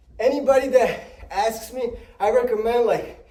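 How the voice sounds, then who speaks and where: A man speaks at a fairly slow pace with an extremely high pitch, ordinary pitch variation, a dark, mellow tone and audible room echo. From Spanish-speaking country, moved to US at about eight. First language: Spanish. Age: 30s. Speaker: fitness vlogger. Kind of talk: casual vlog talk while exercising.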